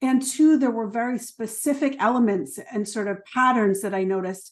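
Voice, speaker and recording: A woman with a slight New Jersey accent, fairly high pitch, ordinary pitch variation and a fairly quick pace, against a quiet background. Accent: New Jersey accent, slight but returning. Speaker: trauma therapist and educator. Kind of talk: online workshop presentation. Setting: video call. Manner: filler-heavy, conversational.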